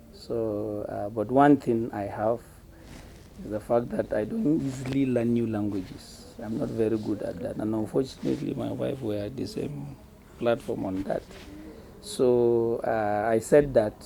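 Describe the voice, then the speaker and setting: Noticeable background noise sits behind a man speaking at a medium pitch and a fairly slow pace. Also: ordinary pitch variation. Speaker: pastor and missionary. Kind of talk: interview.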